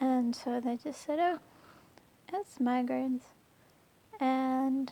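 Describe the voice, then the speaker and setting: With an American accent, a woman speaks at a fairly slow pace and a high pitch. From United States. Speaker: chronic illness vlogger. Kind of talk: personal testimony vlog. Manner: hesitant, many fillers.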